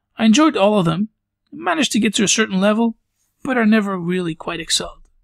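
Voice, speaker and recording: Speaking at a very fast pace, a man uses a high pitch with ordinary pitch variation, the sound dry and close with no echo. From Belgium, near Brussels. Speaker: podcast host. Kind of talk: podcast monologue.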